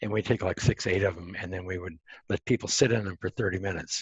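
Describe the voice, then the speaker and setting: A man's fairly low, somewhat breathy voice with an American accent, dry and close with no echo, over a quiet background. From Montana, US. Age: 70s. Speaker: entrepreneur and grounding researcher. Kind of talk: interview. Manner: halting, many fillers.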